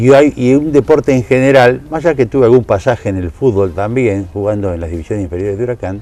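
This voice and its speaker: Over noticeable background noise, a man with a Rioplatense accent speaks at a fairly quick pace with lively intonation. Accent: Argentine Rioplatense Spanish. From Argentina, Buenos Aires province (Tres Arroyos). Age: 70s. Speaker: sports announcer, interviewee. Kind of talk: interview.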